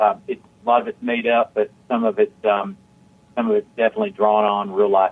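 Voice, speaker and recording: A man with an American accent at a very fast pace, with big swings in loudness. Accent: Southern US, somewhat evened out. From Tennessee, Chattanooga. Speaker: country singer-songwriter. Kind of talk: radio interview.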